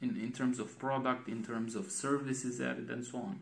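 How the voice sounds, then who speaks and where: Speaking at a moderate pace with vocal fry, a man with a Romanian accent has a medium pitch, and the room echo is audible. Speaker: design vlogger. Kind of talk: casual monologue vlog. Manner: halting, many repetitions.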